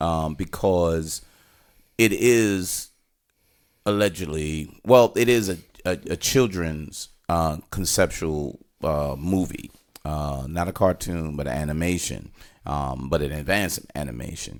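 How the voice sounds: Slowly and at an extremely low pitch, a man speaks with ordinary pitch variation.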